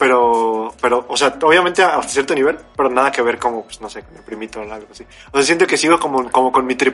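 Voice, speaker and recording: A man rushes along at a very fast pace with hardly any pauses and big swings in loudness. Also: medium pitch for a man, ordinary pitch variation. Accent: Mexican. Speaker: podcast co-host. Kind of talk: casual chat.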